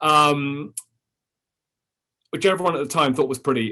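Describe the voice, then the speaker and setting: A man speaks with a British accent in a bright, sharp tone, at a fairly quick pace. His pitch varies an ordinary amount, and the background is quiet. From London, England. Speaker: history professor and author. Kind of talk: lecture. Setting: Zoom webinar from office. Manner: halting, many fillers.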